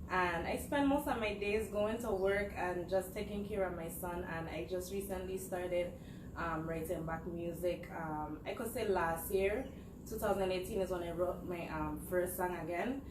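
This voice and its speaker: A woman at medium pitch talks at a moderate pace with ordinary pitch variation. There is audible room echo and noticeable background noise. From US Virgin Islands, St. Croix. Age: 20s. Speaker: musician. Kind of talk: interview. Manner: casual, with frequent hesitations.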